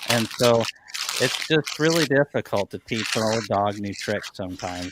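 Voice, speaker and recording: Noticeable background noise sits behind a man's medium-pitched voice, which is recorded dry and close with no echo. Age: 30s. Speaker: beekeeping business owner. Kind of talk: casual chat.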